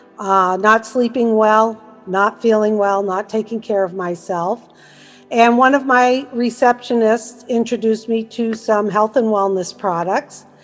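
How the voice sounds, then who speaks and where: Fairly high woman's voice at a fairly slow pace, fairly even in intonation, with music in the background. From Massachusetts, US. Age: 60s. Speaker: network marketer. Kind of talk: sales presentation.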